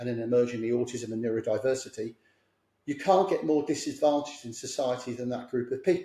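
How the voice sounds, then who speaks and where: A very fast man's voice, somewhat breathy, with a dark, mellow tone. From south London, England. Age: 60s. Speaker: clinical psychologist. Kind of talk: podcast interview.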